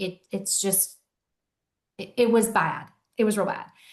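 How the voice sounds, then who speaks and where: A woman speaks loudly at a moderate pace and a medium pitch. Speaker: mental health court coordinator. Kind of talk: virtual educational talk.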